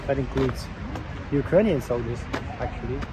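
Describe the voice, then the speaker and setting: Noticeable background noise can be heard. A man talks over it. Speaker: travel vlogger. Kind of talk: walking tour vlog. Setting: outdoors.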